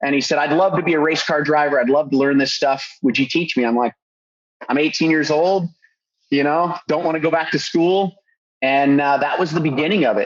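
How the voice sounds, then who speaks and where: A fairly quick pace and fairly even intonation, with a Californian accent. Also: man, fairly high pitch for a man. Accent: Californian American English. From Southern California, Orange County. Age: 40s. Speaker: custom car builder. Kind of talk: podcast interview. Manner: hesitant, many fillers.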